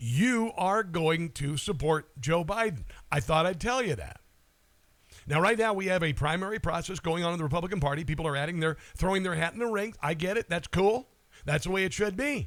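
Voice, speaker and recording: A man speaks with an American accent at a high pitch. His pace is fairly quick and his intonation lively. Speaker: talk radio host. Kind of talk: political talk radio monologue. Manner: casual, sarcastic.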